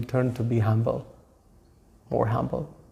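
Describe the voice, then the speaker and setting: A man's dark, mellow voice with audible room echo. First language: not English; local language of audience not his either. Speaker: Hare Krishna monk and class speaker. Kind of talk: religious lecture on scripture. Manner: halting, hesitant non-native English.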